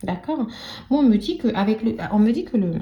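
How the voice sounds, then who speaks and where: With vocal fry and a dark, mellow tone, a soft-spoken woman talks at a fairly slow pace. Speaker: tarot card reader. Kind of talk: tarot reading. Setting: live video recording. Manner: speaks very softly.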